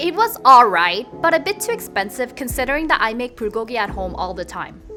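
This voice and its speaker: Music is playing behind the voice. A woman speaks fairly quickly. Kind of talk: travel vlog voiceover.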